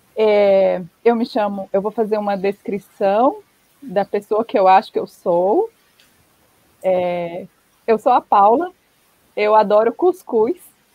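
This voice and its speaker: Long, frequent pauses break up a woman's very slow speech, which has ordinary pitch variation. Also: medium pitch for a woman. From Brazil, Paraíba interior (Northeast). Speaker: history professor and book editor. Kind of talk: academic talk. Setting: live stream.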